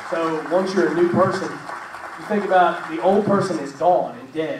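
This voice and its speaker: With audible room echo and noticeable background noise, a man speaks at a high pitch and a moderate pace. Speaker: church show host. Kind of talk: casual faith discussion. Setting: live stream with studio audience. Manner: loud; halting.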